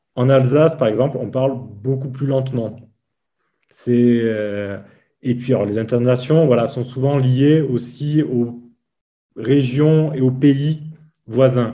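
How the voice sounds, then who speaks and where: With long, frequent pauses and a very slow pace, a man speaks in a dark, mellow tone at medium pitch, his intonation fairly even, amid audible room echo. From Provence, southern France. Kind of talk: casual chat.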